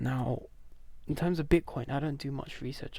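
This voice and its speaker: A man whispers at a moderate pace. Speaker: stock market commentator. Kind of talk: screen-share market analysis. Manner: whispering; casual, filler-heavy.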